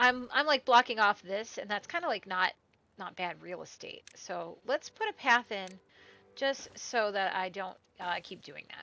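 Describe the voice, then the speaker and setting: A woman with an American accent speaks at a medium pitch and a moderate pace. Her intonation is lively, and her loudness swings widely. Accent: Midwestern, noticeable at times. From US Midwest. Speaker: gaming streamer. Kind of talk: gameplay commentary. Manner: casual, chatty with fillers.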